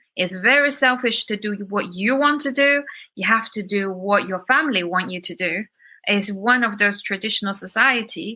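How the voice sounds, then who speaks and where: The tone is bright and sharp, the pace moderate and the pitch variation ordinary, on a very clean recording with a silent background. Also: woman, medium pitch for a woman. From China, moved to UK as teenager. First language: Chinese. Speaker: singer-songwriter and producer. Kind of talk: interview conversation. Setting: podcast interview.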